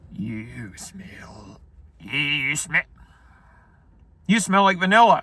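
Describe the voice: In a put-on character voice, a man speaks with a menacing tone at a high pitch, his pitch swinging very widely. He goes at a very slow pace, with long, frequent pauses.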